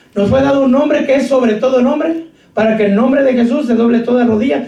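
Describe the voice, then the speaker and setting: Speaking at a fairly quick pace, a man uses an extremely high pitch. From Mexico. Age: 50s. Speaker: pastor. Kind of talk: sermon.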